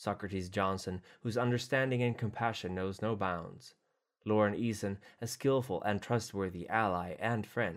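The text is read out plainly. Little else can be heard behind it.

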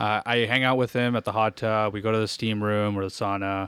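Recorded very cleanly with a silent background and a dry, close sound free of echo, a man speaks at a medium pitch. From Eastern Ontario, Canada (Hawkesbury area). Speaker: finance and accounting professional. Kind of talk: casual chat. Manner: animated.

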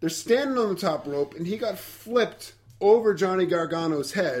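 A man's high-pitched voice with very wide pitch swings, at a fairly slow pace, in a very clean recording against a silent background. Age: 30s. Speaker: wrestling podcast host. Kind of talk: casual chat.

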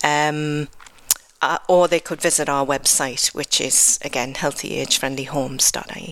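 A woman in a Geordie accent, very deep and low in pitch, with monotone, flat intonation at a moderate pace. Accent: English (Geordie) accent noted by herself. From northeast England (Newcastle upon Tyne). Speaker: health programme manager. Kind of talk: radio interview. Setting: live radio broadcast from a cathedral.

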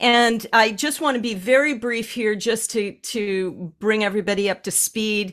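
An unremarkable speaking voice belongs to this woman, fairly high in pitch with ordinary pitch variation. She keeps a moderate pace with hardly any pauses. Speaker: animal communicator and healer. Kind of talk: casual podcast conversation.

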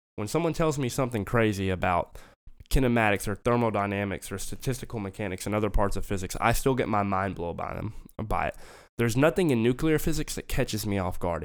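A man with a fairly low voice and a Southern US accent talks at a fairly quick pace on a very clean recording with a silent background. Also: ordinary pitch variation. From US South, Memphis and central Arkansas. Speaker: physics graduate and Marine veteran. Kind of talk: casual chat.

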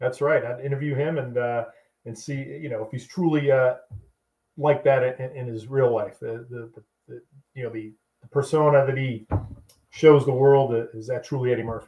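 With an American accent and a medium pitch, a man speaks at a moderate pace in a somewhat breathy voice, with fairly even intonation, big swings in loudness and long, frequent pauses. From Boston, US Northeast. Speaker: army veteran. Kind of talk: casual chat.

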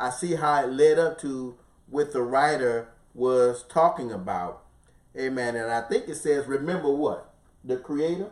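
Over noticeable background noise, a man talks at a fairly slow pace in a fairly high pitch with ordinary pitch variation. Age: 50s. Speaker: pastor. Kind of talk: bible study teaching. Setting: live broadcast.

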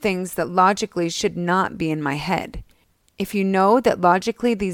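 The background is kept quiet. Over it, the reading voice sounds unforced.

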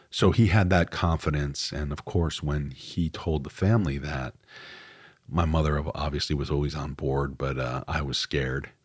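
On a very clean recording with a silent background, a man with a very deep, low pitch and vocal fry speaks at a moderate pace with ordinary pitch variation. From New York, Westchester County. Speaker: writer and podcast host. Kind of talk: personal monologue. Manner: halting, many fillers.

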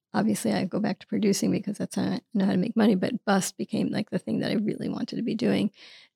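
A woman with an American accent talks at a very fast pace, with hardly any pauses. The sound is dry and close, with no echo. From New York City, Queens. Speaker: author and producer. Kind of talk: interview conversation. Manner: halting.

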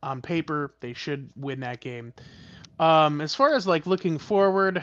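A man's fairly high voice with lively intonation, a moderate pace and a quiet background. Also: dry, close sound with no echo. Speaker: podcast co-host. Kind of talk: casual sports podcast chat. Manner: conversational, hesitant with fillers.

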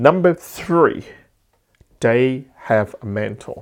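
Against a quiet background, a man speaks with a strong Cantonese accent. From Hong Kong. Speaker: entrepreneur and business podcaster. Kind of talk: solo podcast talk, motivational. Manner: halting, with frequent fillers and restarts.

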